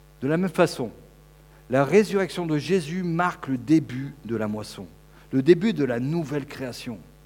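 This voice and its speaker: Speaking at a fairly slow pace with long, frequent pauses, a man uses a fairly high pitch and lively intonation. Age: 50s. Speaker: preacher. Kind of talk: sermon.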